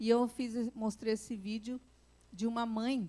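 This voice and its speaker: A woman's voice, fairly high in pitch. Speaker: psychologist and conference speaker. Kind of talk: conference talk. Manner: animated.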